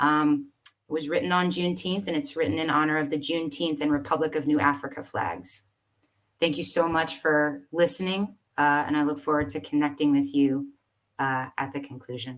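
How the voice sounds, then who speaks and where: With an American accent, a woman speaks at a very deep, low pitch with ordinary pitch variation. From US South. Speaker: poet. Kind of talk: casual chat; poetry reading.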